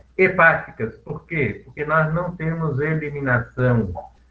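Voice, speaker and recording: Music plays in the background. The speaker talks at a very slow pace with ordinary pitch variation. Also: man. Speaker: dentist lecturer. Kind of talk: lecture.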